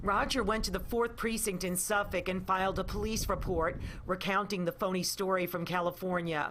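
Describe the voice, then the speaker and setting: With a normal speaking voice, a woman talks at a fairly quick pace, her medium pitch held in fairly even intonation. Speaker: TV news reporter. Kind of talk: TV news report narration.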